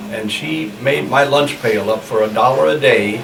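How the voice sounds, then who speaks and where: A man with a Midwestern US accent at a fairly slow pace, amid noticeable background noise and audible room echo. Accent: US Midwest. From Nebraska. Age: 80s+. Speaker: elderly local resident. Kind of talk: oral history interview. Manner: halting.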